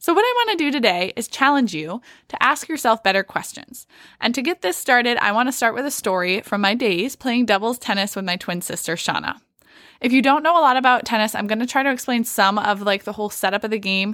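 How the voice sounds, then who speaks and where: Very fast and enthusiastic, a woman speaks with a bright, sharp tone and lively intonation. Her pitch is fairly high, and the recording is very clean with a silent background. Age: 20s. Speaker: podcast host for teenage girls. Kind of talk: motivational podcast monologue.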